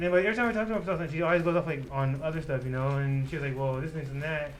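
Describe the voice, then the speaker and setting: Speaking at a very fast pace with ordinary pitch variation, this speaker mumbles through audible room echo. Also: man, fairly high pitch for a man. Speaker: podcast co-host. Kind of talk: casual chat. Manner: fast, mumbling.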